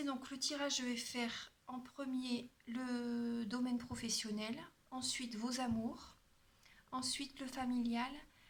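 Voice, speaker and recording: A woman's high voice, very slow and flat in a monotone, with audible room echo. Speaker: tarot card reader and energy healer. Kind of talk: tarot reading guidance.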